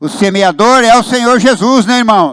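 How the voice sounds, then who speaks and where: This man talks at a moderate pace. The recording is very clean, with a silent background. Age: 70s. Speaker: pastor. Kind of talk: sermon.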